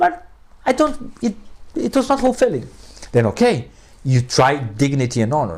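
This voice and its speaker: A man speaks with a Portuguese accent in an animated tone. His pace is moderate, broken by long, frequent pauses. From Brazil. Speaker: philosophy professor. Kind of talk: interview conversation.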